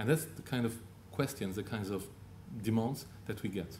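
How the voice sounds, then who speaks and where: With a Luxembourgish accent, a man speaks at medium pitch and a fairly quick pace in a dark, mellow, somewhat breathy tone with ordinary pitch variation and audible room echo. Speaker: telecom business speaker. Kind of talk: Q&A answer; conference presentation. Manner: halting, with frequent repetitions.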